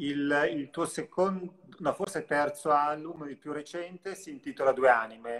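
A man speaks at a fairly slow pace, his loudness swinging widely. His pitch varies in an ordinary way. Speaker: live-stream interviewer. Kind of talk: live interview. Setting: video call. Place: home room. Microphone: video call.

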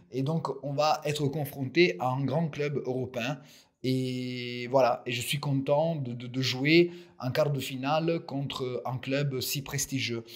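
A man speaks at a very slow pace. His pitch is medium, with fairly even intonation. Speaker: football fan commentator. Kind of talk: solo audio commentary. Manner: halting, many repeated words and fillers.

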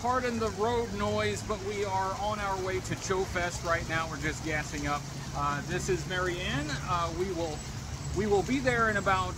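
Loud background noise accompanies a man who speaks at a moderate pace. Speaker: vlogger. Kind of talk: casual vlog chat. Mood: upbeat, joking. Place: street. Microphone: phone near.

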